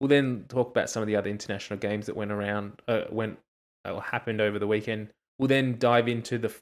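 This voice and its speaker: With an Australian accent, a man speaks at a fairly quick pace and medium pitch, his intonation fairly even, on a very clean recording with a silent background. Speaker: rugby podcast host. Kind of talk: casual chat.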